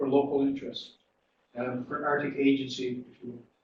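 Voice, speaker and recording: The speaker is somewhat breathy, with a Newfoundland accent and a moderate pace. Audible room echo is present. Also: man. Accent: Newfoundland Canadian English. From Newfoundland, Canada (Corner Brook). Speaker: dean of education. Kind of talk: conference panel talk. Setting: conference panel with audience. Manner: halting, many fillers and repeats.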